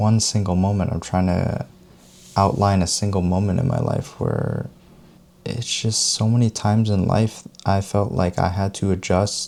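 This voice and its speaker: Over noticeable background noise, a man speaks at a moderate pace in a gentle tone. His fairly low voice keeps fairly even intonation. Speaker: self-help video creator who talks over tea. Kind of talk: soft-spoken tea talk to camera, self-help style. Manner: gentle, soft-spoken, conversational.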